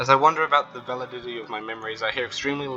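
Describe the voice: Pitch variation is ordinary in this plain reading aloud.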